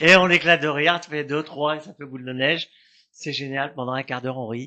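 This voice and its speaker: A man's bright, sharp voice, fairly high in pitch and fairly quick, with fairly even intonation and big swings in loudness. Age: 70s. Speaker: clown. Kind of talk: interview. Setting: TV studio.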